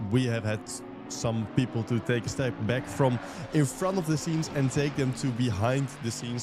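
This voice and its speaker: A man speaks at a medium pitch and a moderate pace, with ordinary pitch variation. Noticeable background noise runs under his voice. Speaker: stream producer and commentator. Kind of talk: live commentary chat.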